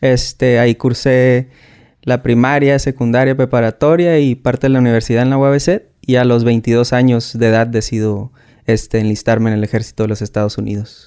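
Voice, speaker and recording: Dark, mellow male voice over a quiet background, fairly quick in pace and fairly even in intonation. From Mexico, Tijuana, Baja California; Baja California, Mexico. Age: 30s. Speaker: war veteran; guest. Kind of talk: interview. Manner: hesitant, many fillers. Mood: calm, reflective. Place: studio. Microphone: studio mic.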